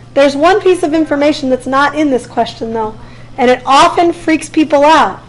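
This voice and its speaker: Over noticeable background noise, a woman talks in an animated tone with ordinary pitch variation. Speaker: physics teacher. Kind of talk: classroom lecture. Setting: classroom. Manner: fast.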